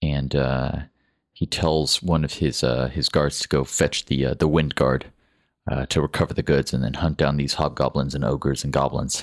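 A man with a very deep, low pitch talks at a moderate pace in a monotone, flat intonation, with vocal fry, long, frequent pauses, and a dry, close sound with no echo. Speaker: game master. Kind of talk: tabletop role-playing game session, narration and character voices.

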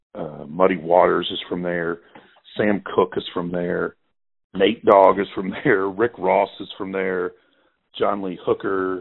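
A man speaks in a Mississippi accent at a very slow pace, his pitch very deep and low. His intonation is fairly even, while his loudness swings widely. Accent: Mississippi Southern US. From US South, Clarksdale, Mississippi. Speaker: journalist and author. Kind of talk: casual interview conversation.

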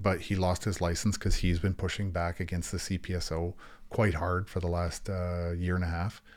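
A man with a Canadian accent speaks at a moderate pace in a very deep, low pitch. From Ontario, Niagara region. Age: 50s. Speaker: protest organizer and former army officer. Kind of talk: interview. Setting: studio.

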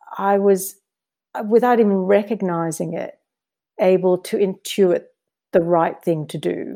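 A woman with an Australian accent speaks at medium pitch with a dark, mellow tone. Her pitch varies an ordinary amount. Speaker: diplomat. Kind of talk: interview. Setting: remote call.

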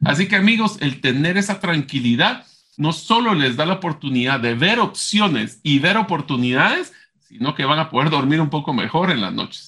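A man's fairly high voice, an ordinary speaking voice, with lively intonation at a moderate pace against a quiet background. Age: 40s. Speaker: podcast co-host. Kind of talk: casual chat.

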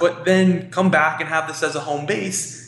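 High-pitched male speech over noticeable background noise. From New York, Queens. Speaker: life coach running retreats. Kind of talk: casual interview.

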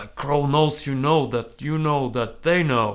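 A put-on character voice at a very slow pace. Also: man, fairly high pitch for a man. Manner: gruff, theatrical.

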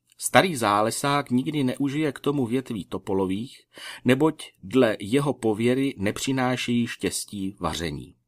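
On a very clean recording with a silent background, the speech moves at a fairly slow pace with lively intonation. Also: man. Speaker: podcast host, scout leader. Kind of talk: casual podcast talk, then literary audiobook reading of an old scout handbook. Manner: measured, even reading pace; formal, slightly archaic phrasing read aloud.

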